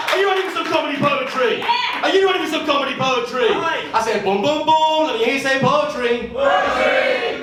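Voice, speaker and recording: A man talks at a fairly quick pace in an extremely high pitch, his voice making very wide pitch swings. Crowd noise can be heard in the background. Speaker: poet. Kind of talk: comedy poetry performance to a live audience. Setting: live venue with audience.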